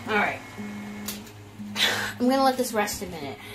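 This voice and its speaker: A woman talks with ordinary pitch variation. Noticeable background noise runs under her voice. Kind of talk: cooking tutorial. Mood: playful, relaxed. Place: kitchen. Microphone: phone near.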